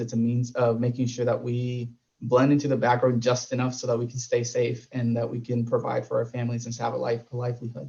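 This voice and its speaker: A man talks at a fairly quick pace with hardly any pauses, his medium-pitched voice monotone and flat. His tone is dark, mellow and somewhat breathy. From Puerto Rico. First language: Spanish. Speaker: panelist. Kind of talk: panel discussion.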